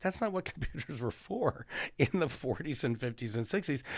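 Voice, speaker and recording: A man with an ordinary speaking voice and lively intonation is captured in a very clean recording with a silent background. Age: 60s. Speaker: political science professor. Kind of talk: casual interview chat.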